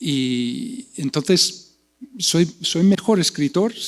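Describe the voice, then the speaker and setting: A man with a non-native accent speaks at a very slow pace with lively intonation. The sound is dry and close, with no echo. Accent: foreign accent in Spanish. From US Midwest, Iowa. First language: English (speaking Spanish). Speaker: poet and translation professor. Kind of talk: panel discussion. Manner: halting, many repetitions.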